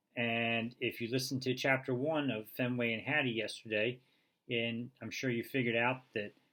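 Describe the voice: What this recording holds is plain reading aloud.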